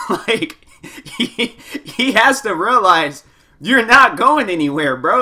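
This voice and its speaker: Against noticeable background noise, a man with a high pitch uses a raised, projected voice, very wide pitch swings and an animated tone. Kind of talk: comedic commentary voiceover. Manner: casual, animated.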